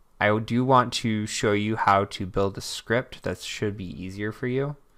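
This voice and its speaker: In a very clean recording with a silent background, a man with a fairly low pitch speaks at a moderate pace with ordinary pitch variation in an unremarkable speaking voice. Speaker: cybersecurity instructor. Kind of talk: screen-recorded tutorial.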